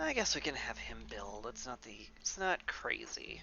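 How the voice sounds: Faint music plays in the background. The slow voice has vocal fry and a bright, sharp tone.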